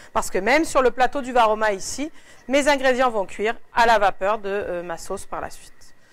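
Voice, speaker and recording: Fairly high female voice with ordinary pitch variation and big swings in loudness, in a very clean recording with a silent background. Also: fairly quick pace. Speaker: cooking appliance demonstrator. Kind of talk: product cooking demonstration. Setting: appliance shop in Quebec City. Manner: fast.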